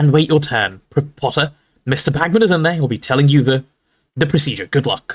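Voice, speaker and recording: A man puts on a character voice, fairly high-pitched and shaky, with ordinary pitch variation and a fairly quick pace broken by long, frequent pauses. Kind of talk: formal, instructing.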